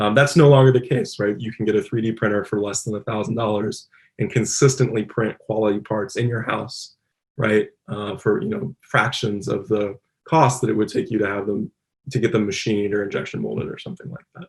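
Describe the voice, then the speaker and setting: This is a very clean recording with a silent background. A man speaks at a fairly quick pace and fairly low pitch, somewhat breathy, with ordinary pitch variation. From Louisville, Kentucky. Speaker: robotics engineer, applied scientist. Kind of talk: conference talk. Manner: casual, many filler words.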